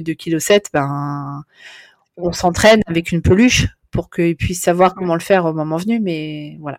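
A woman speaks at a moderate pace, her pitch fairly low with ordinary variation. The sound is dry and close with no echo, on a very clean recording with a silent background. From Netherlands (Amsterdam), French. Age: 40s. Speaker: postnatal maternity carer. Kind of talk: interview. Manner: hesitant, many fillers.

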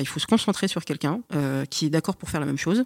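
A woman at a very fast pace and fairly low pitch, dry and close with no echo, in a very clean recording with a silent background. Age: 30s. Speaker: podcast guest. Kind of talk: casual chat.

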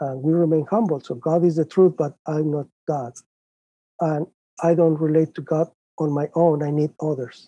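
A man with a Spanish accent and a fairly high pitch speaks at a moderate pace in a dark, mellow tone, with fairly even intonation and a dry, close sound with no echo. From Mexico, Guadalajara. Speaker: professor. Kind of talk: interview.

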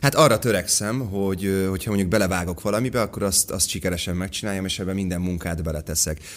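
A man with a very deep, low voice talks at a very fast pace, hardly pausing. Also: ordinary pitch variation. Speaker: actor. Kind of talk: casual chat.

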